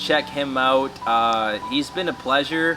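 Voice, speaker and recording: A man speaks with a French-Canadian accent at a medium pitch. Noticeable background noise runs behind him. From New Brunswick, Canada (Moncton, Acadian French). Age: 30s. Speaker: snake breeder. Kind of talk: interview. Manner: hesitant, many fillers.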